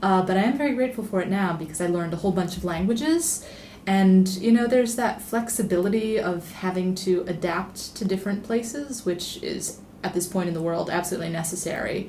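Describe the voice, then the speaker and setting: A woman at a medium pitch speaks with audible room echo. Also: ordinary pitch variation, fairly quick pace. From international upbringing, Italian family, born in Rome. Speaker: travel writer and editor. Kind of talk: podcast interview. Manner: conversational, many filler words.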